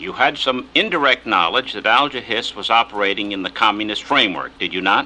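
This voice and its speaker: With a normal speaking voice, this speaker talks at a fairly quick pace, with ordinary pitch variation and hardly any pauses. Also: man, medium pitch for a man. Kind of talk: formal questioning in hearing.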